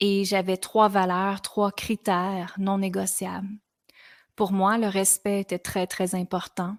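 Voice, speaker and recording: A woman speaks at a fairly slow pace in a Quebec accent, on a very clean recording with a silent background and a dry, close sound with no echo. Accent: Québécois French. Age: 40s. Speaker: podcast host, women's coach. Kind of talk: personal testimony on a podcast.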